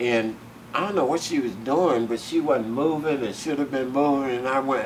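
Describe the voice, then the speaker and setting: Noticeable background noise and audible room echo surround a man speaking in a Southern US accent. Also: medium pitch for a man, ordinary pitch variation, moderate pace. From US South. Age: 70s. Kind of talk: oral history interview. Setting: museum. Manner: animated.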